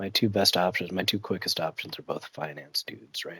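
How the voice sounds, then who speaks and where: The soft-spoken voice comes through as a dry, close sound with no echo. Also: man. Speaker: gaming streamer. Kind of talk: live gameplay commentary. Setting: at home, child napping. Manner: quiet, talking softly; casual, hesitant with fillers.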